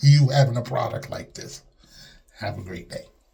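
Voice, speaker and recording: This man speaks at a medium pitch with fairly even intonation. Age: 60s. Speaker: customer giving testimonial. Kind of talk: testimony. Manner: casual, hesitant.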